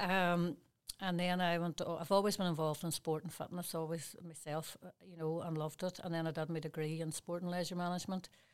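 A woman speaks with a Derry accent at a fairly quick pace. Her intonation stays monotone and flat. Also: fairly low pitch for a woman. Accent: Northern Irish (Derry). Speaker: fitness business owner and personal trainer. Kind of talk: interview. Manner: halting.

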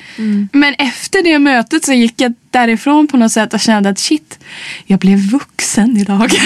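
A woman's fairly high voice with lively intonation at a moderate pace, amid noticeable background noise. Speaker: singer and actress. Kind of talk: casual interview chat.

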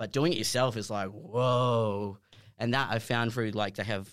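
A man with an Australian accent at a moderate pace, fairly even intonation, and a very clean recording with a silent background. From Perth, Western Australia. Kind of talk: casual chat.

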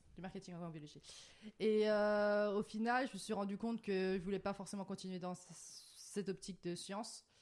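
A woman's plain, everyday voice at medium pitch, fairly even in intonation, moving at a moderate pace with big swings in loudness. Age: 20s. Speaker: guest, digital marketing graduate. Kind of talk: casual chat.

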